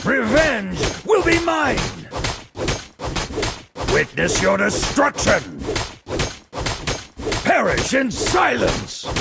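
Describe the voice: A man puts on an extremely high-pitched character voice with a bright, sharp tone, a husky, rough edge and vocal fry. His pitch swings very widely, and he talks at a very slow pace with long, frequent pauses.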